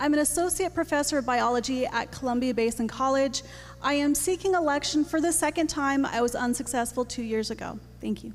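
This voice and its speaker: Over music in the background, a woman with an American accent speaks at a fairly quick pace in a high pitch with ordinary pitch variation. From Montana. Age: 40s. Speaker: professor. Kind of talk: candidate introduction. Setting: school gym with audience.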